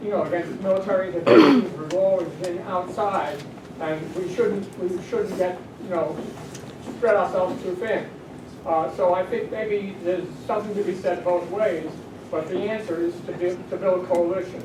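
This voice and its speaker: A man talks in a high pitch with fairly even intonation. The room echo is audible and the background noise is noticeable. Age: 80s+. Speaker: war veteran and activist. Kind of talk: audience comment at community panel. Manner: halting.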